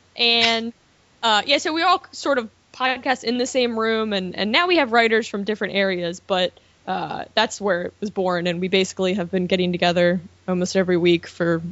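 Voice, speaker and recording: Intonation is lively as a woman speaks in a Baltimore accent. Her pitch is medium and her pace moderate. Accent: Baltimore accent, described as horrible. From US, Baltimore, Maryland. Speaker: film blogger and editor. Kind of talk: casual chat. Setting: studio.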